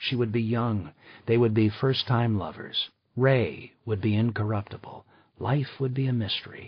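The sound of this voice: Someone reads in an unforced voice against a quiet background. Their intonation is fairly even.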